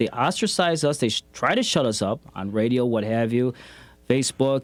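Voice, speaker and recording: At a moderate pace, a man of medium pitch speaks in an unremarkable speaking voice. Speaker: community activist and radio host. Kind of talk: interview conversation.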